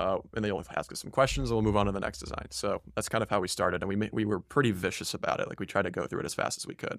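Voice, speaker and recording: A man with a fairly low pitch and vocal fry races along at a very fast pace with hardly any pauses and lively intonation. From Poland. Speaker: aerospace engineering student. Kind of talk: casual interview.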